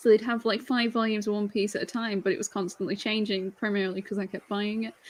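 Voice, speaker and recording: With a British accent, a woman at medium pitch talks at a very fast pace in a monotone, flat intonation. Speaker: manga collector YouTuber. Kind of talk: casual chat.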